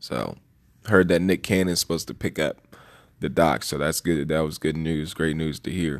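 Over a quiet background, a man with an American accent talks at a moderate pace in a very deep, low pitch, with vocal fry and fairly even intonation. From DC, Maryland, Virginia area. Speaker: podcast host. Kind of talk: solo monologue commentary. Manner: halting, many fillers.

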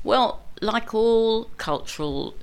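Lively intonation marks a woman speaking with a southern English accent. Noticeable background noise can be heard behind her. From London, England. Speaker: morris dancer. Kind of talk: interview. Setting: studio.

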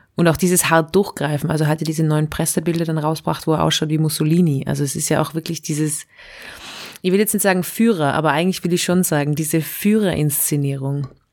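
This woman's voice sits very deep and low in pitch. Her intonation stays fairly even as she talks at a very fast pace. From Austria. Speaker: satirist and slam poet. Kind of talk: casual chat. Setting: remote call.

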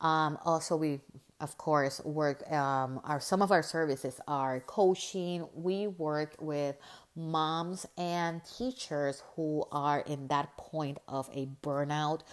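A woman speaks very slowly with a Spanish accent, her pitch very deep and low. Her intonation is fairly even, and the recording is very clean with a silent background. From Puerto Rico. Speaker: podcast host and life coach. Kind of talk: casual monologue to listeners. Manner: halting, frequent filler words.

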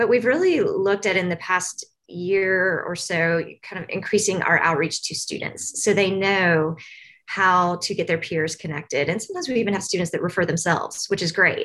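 At a moderate pace, the speaker talks in an American accent with ordinary pitch variation. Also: woman, medium pitch for a woman. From Tennessee, US South. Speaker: university case manager. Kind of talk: interview, professional chat.

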